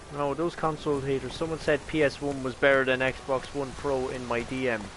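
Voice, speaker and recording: A man with an Irish accent talks at a fairly quick pace and medium pitch. His intonation stays monotone and flat over noticeable background noise. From Ireland. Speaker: gaming streamer. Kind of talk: casual chat. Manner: casual.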